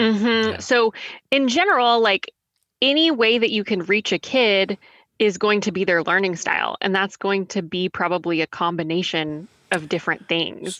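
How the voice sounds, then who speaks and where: With an American accent, a woman talks at a moderate pace in a normal speaking voice of medium pitch, her loudness very even throughout. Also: lively intonation, dry, close sound with no echo. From Texas. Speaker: tutoring business founder and teacher. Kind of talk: interview.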